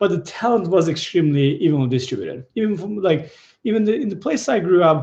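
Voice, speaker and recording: A man with a high pitch, a dark, mellow tone, lively intonation and a fairly quick pace. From Turkey, southeast village. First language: Turkish. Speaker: tech company founder and CEO. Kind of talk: presentation in a fireside chat. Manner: hesitant, many fillers and restarts.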